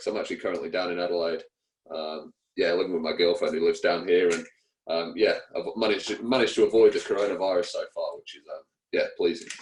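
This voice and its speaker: This man has an English accent. He talks at a very fast pace. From England. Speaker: cricketer. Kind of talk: interview. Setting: radio show. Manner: hesitant, many fillers.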